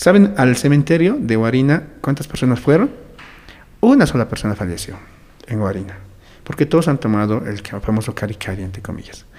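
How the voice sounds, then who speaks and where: Very wide pitch swings from a man talking fairly quickly. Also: medium pitch for a man. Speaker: educator and social communicator. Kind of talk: interview.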